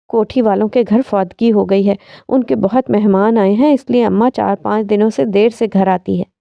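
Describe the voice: Just plain reading aloud.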